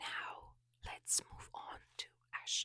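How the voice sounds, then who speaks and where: Someone is whispering at a very slow pace. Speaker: ASMR creator. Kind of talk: ASMR rant / review. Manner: soft whispered.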